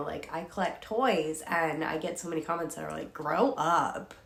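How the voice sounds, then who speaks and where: A woman speaking at a moderate pace amid noticeable background noise. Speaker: doll collector vlogger. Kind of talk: casual talk to camera. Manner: casual, filler-heavy.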